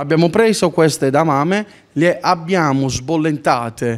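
Fairly high in pitch, a man with a normal speaking voice talks at a fairly slow pace with lively intonation. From Apulia, Italy (Palagiano, Taranto); Apulia. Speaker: chef and restaurant owner. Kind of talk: tasting presentation, cooking demonstration. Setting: restaurant. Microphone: handheld.

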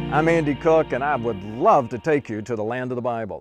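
The speaker is male. Background music accompanies him. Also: dry sound with no echo. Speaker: tour leader pastor. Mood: warm, enthusiastic. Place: forest. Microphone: lapel.

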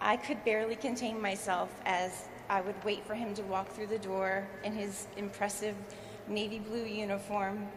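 Over noticeable background noise, a woman talks at a moderate pace in a monotone, flat intonation. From US, southern New Jersey. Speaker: ship sponsor; speaker. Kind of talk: ceremonial speech. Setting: stage with audience. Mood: warm, smiling. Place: hall. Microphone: podium.

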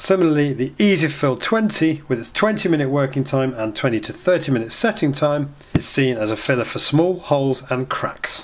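Against light background noise, the voice moves at a moderate pace with lively intonation and hardly any pauses. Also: man. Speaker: presenter. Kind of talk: tutorial. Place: office.

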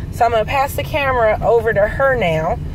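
Noticeable background noise runs under the recording. A woman talks at a fairly high pitch. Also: dry sound with no echo. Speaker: vlogger introducing her mother-in-law. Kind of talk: casual talk to camera. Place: car. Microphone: phone near.

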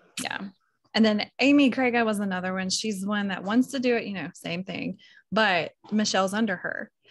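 A woman's somewhat breathy, medium-pitched voice with an American accent and ordinary pitch variation. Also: moderate pace, dry sound with no echo. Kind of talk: casual team call. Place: home room. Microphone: video call.

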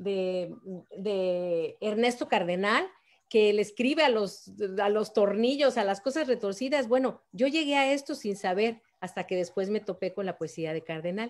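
With a Mexico City accent, a woman talks at a fairly slow pace in a medium pitch, her tone animated and her intonation lively. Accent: Mexican Spanish (Mexico City). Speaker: photographer and writer; guest. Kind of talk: interview. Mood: lively, expressive storytelling. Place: home room. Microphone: video call.

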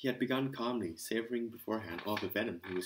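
Pitch shifts in an ordinary way as the unforced voice reads.

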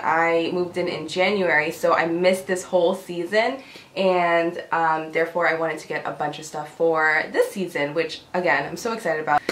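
With fairly even intonation and hardly any pauses, a woman speaks at a fairly low pitch and a moderate pace, her loudness swinging widely amid light background noise and audible room echo. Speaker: home decor vlogger. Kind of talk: casual talk to camera, haul video. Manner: quiet, low-pitched. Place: home room. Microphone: camera far.

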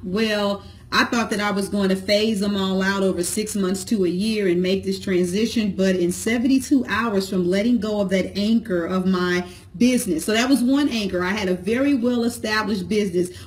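A woman speaks with an American accent at a moderate pace. Her pitch is medium, with ordinary variation. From St. Louis, Missouri; Missouri. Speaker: entrepreneur, business vlogger, cosmetologist; business vlogger. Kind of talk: motivational talk to camera. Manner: casual, conversational. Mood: warm, encouraging. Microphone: phone near.

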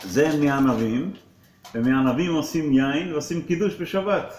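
A man with a fairly high pitch talks at a very slow pace, with audible room echo and light background noise. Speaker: rabbi. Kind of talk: religious talk with a blessing and teaching. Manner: pauses for translation. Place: classroom. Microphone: phone near.

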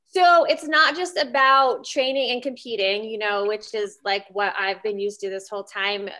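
A woman with a fairly high pitch speaks in a bright, sharp tone with lively intonation. She keeps a moderate pace with hardly any pauses against a quiet background. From Pennsylvania, Reading area; Pennsylvania. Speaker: Brazilian jiu-jitsu competitor; interview guest. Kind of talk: interview. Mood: relaxed, friendly. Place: home room. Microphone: video call.

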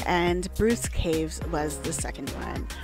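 A woman speaks in a dry recording with no echo. Music plays in the background. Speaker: solo traveler vlogger. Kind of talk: reflective travel vlog narration.

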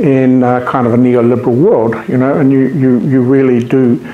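Amid audible room echo, a man with a New Zealand accent talks at a fairly slow pace and a medium pitch. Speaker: invited lecturer, academic. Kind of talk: formal academic talk. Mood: warm, grateful. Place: meeting room. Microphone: camera far.

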